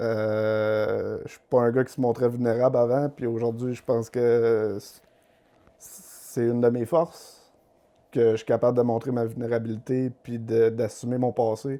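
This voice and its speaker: A man's medium-pitched, flat monotone at a fairly slow pace, with big swings in loudness. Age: 30s. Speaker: guest sharing recovery from addiction. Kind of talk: podcast interview, personal testimony. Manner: halting, many hesitations.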